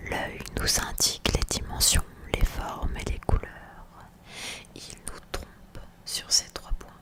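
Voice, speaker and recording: Whispering at a very slow pace in an intense tone, a woman is heard over noticeable background noise. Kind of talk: ASMR story reading. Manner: intense whispers.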